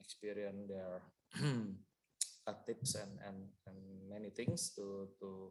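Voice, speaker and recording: A quiet man speaks at a fairly slow pace in a fairly low pitch. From Indonesia. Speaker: tax consultant and lawyer. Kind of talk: panel presentation. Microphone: too quiet.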